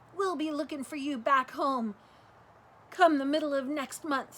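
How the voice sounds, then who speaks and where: A woman speaks in a put-on character voice, raised and projected, at a moderate pace. Her pitch is high, with fairly even intonation. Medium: read story.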